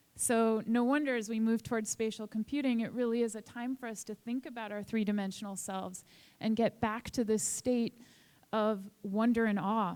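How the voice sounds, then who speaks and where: Here is a plain, everyday voice with an American accent. It moves at a moderate pace with fairly even intonation. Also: woman, fairly high pitch for a woman. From Boston, US. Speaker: author and lecturer. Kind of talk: conference talk.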